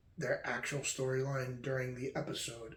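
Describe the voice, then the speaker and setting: Quiet and somewhat breathy, a man speaks at a fairly slow pace in a medium pitch. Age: 20s. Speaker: podcast host. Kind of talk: casual monologue. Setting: at home late at night.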